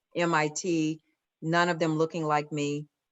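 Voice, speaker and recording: A woman speaks in a Southern US accent with a very deep, low pitch. Her intonation is monotone and flat. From US South, Atlanta. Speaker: corporate diversity executive. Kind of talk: Q&A talk.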